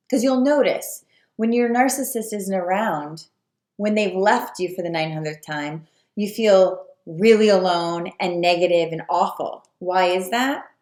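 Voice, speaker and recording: At a fairly slow pace, a normal speaking voice moves with ordinary pitch variation. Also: woman, medium pitch for a woman. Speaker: spiritual coach. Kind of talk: video talk to viewers.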